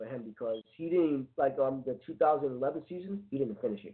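A man with an unremarkable speaking voice talks at a fairly quick pace in a fairly high pitch, with lively intonation. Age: 30s. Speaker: internet radio co-host. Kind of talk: casual chat.

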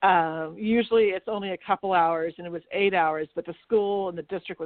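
A woman talks in a normal speaking voice, fairly low in pitch, at a moderate pace with ordinary pitch variation. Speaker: chamber of commerce co-host. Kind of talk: radio talk show banter.

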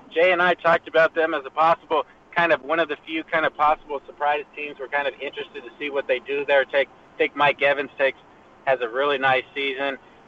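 A man speaking at a fairly quick pace with noticeable background noise behind him. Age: 30s. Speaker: fantasy football panelist. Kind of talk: casual chat. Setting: phone call while driving in car. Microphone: phone line.

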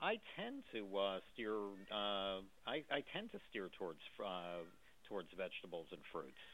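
A man talks in an ordinary speaking voice, pitched fairly low. He moves at a fairly slow pace with ordinary pitch variation. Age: 50s. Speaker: attorney calling in with a health question. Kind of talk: radio call-in. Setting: phone call from his office.

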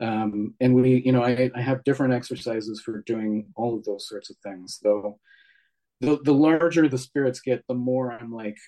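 A man's medium-pitched, ordinary speaking voice at a moderate pace, with fairly even intonation. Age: 40s. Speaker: author and witch. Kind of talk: interview.

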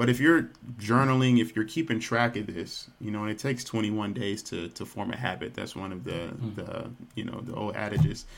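A man's medium-pitched, unremarkable speaking voice at a fairly quick pace, with ordinary pitch variation and big swings in loudness. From Texas, Dallas. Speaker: nutrition practitioner and yoga instructor. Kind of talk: interview.

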